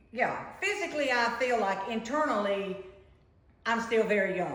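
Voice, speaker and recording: A woman speaks with lively intonation and very even loudness. Audible room echo and noticeable background noise come through. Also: fairly high pitch for a woman, moderate pace. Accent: American. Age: 70s. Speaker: podcast guest, host's mother. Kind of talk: casual chat.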